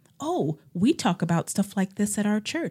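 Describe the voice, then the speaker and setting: At a moderate pace, a woman speaks in a somewhat breathy voice on a very clean recording with a silent background. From Ohio, Cleveland. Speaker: nurse and community organizer. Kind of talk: interview conversation.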